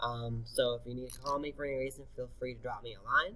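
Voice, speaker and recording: A man speaks at a fairly quick pace with a bright, sharp tone. His intonation stays fairly even. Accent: American. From Florida (Deerfield Beach). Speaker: high school teacher. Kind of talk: recorded presentation to parents. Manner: fast.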